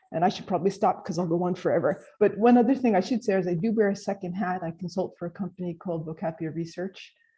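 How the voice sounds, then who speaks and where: A woman speaks very fast with hardly any pauses, her somewhat breathy, dark and mellow voice sitting at a medium pitch with ordinary variation over a quiet background. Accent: American. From United States. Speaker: speech research scientist. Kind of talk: panel discussion introduction.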